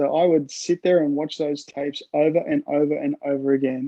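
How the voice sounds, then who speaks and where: Flat and monotone, a man talks with an Australian accent. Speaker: sports fan. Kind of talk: interview.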